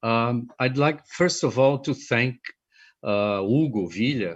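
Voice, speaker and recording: His speech comes at a fairly slow pace. The speaker is a man with typical pitch movement. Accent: Portuguese. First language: Portuguese. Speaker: film researcher. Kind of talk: conference presentation.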